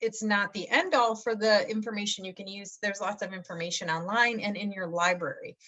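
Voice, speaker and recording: There is noticeable background noise as a woman with a Michigan accent talks at a fairly high pitch. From Michigan, US Midwest. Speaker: college English instructor. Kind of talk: course introduction. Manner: casual, many fillers.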